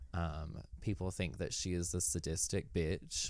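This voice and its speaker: With vocal fry in his very deep, low voice, a man speaks at a fairly slow pace and ordinary pitch variation. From Knoxville, Tennessee. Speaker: drag performer and show producer. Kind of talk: casual chat.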